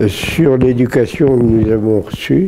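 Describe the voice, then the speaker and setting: A man at a medium pitch, very slow pace, noticeable background noise. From Brittany, France. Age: 80s+. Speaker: WWII Free French veteran. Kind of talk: interview answer.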